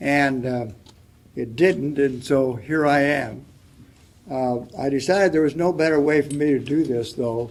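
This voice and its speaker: With a fairly high pitch and ordinary pitch variation, a man talks at a fairly slow pace amid audible room echo. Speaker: panelist. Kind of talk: panel discussion. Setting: stage with audience.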